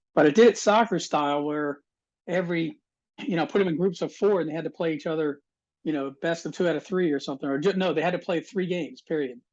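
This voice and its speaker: Against a quiet background, a man with a high-pitched voice talks very fast with ordinary pitch variation. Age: 50s. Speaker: board game tournament organizer. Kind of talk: casual interview chat. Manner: halting, many repeated words.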